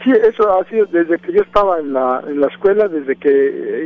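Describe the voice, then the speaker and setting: A man speaks at a moderate pace. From Mexico, Oaxaca. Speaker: music teacher and band director. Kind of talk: interview. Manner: halting.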